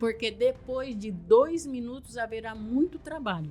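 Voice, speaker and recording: Noticeable background noise beneath speech with lively intonation. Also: woman. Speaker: missionary and author. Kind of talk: interview.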